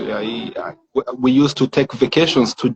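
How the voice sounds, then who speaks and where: The man has a French accent. He talks at a medium pitch. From Rwanda (born in DR Congo). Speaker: tech entrepreneur, founder. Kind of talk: interview. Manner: halting, repeats words.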